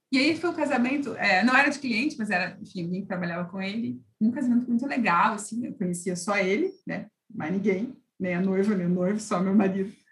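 A woman's somewhat breathy voice, fairly quick, with lively intonation. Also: medium pitch for a woman. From Londrina, Paraná, Brazil. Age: 40s. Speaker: lawyer. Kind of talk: casual chat.

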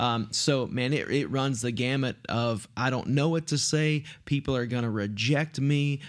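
A man with an East Texas accent speaks fairly slowly at a medium pitch, with fairly even intonation and very even loudness. The recording is very clean, with a silent background. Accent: East Texas Southern US. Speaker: pastor. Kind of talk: casual chat.

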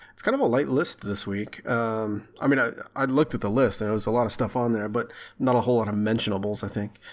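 A man at a medium pitch and a very fast pace. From Texarkana area, Texas/Arkansas border. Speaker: video game podcast co-host. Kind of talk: casual chat. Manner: animated.

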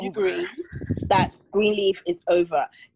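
A plain, everyday voice with ordinary pitch variation comes through with a dry, close sound and no echo. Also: woman. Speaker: podcast co-host. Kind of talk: casual chat.

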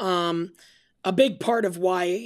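On a very clean recording with a silent background, a woman with a fairly low pitch and ordinary pitch variation speaks in an ordinary speaking voice. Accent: American. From Albany, New York. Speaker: college athletics administrator. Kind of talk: casual interview.

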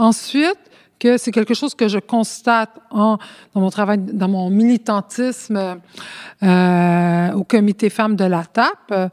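The recording is very clean, with a silent background and a dry, close sound with no echo. A woman speaks very slowly at a medium pitch. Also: ordinary pitch variation. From Montreal, Quebec, Spanish immigrant community. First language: Spanish (speaking French). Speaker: community activist and sociology student. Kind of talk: interview. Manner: halting, many hesitations.

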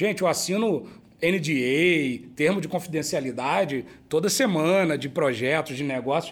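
A man with an unremarkable speaking voice speaks at a fairly slow pace. His pitch is fairly high, with ordinary pitch variation. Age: 40s. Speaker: company director and business school professor. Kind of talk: casual business interview. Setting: brewery.

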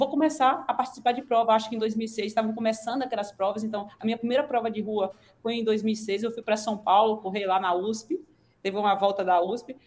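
A woman's fairly high voice at a fairly quick pace with fairly even intonation, an ordinary speaking voice. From Northeast Brazil (Sergipe/Alagoas). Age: 40s. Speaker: physician, nutrition specialist. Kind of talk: casual interview.

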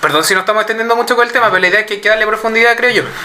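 A man with a Chilean accent speaks in a raised, projected voice at a high pitch. Noticeable background noise is present. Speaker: podcast panelist. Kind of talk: casual chat.

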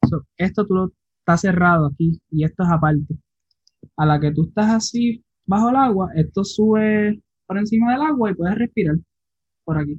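Speaking at a moderate pace with long, frequent pauses, a man uses a high voice and lively intonation, the sound dry and close with no echo. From Puerto Rico, Isabela. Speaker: underwater photographer. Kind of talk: casual interview.

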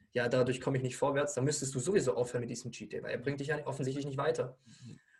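A man talks in a fairly high register, his pitch varying in an ordinary way. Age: 20s. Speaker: weight-loss and nutrition coach. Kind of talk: podcast interview. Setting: studio with camera.

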